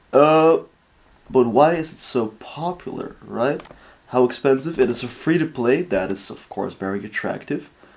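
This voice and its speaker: With a Dutch accent, a man talks at a moderate pace in a fairly high pitch, his intonation lively and his loudness swinging widely. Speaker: reaction video creator. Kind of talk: casual reaction commentary. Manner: casual, hesitant with fillers.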